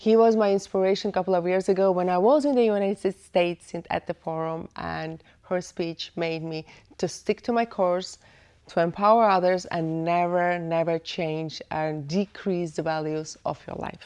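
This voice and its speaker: This woman speaks with a non-native accent in a fairly low voice. Her pitch variation is ordinary. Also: moderate pace. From Eastern Europe, former Soviet Union. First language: not English. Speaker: podcast host. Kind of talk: podcast interview. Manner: halting.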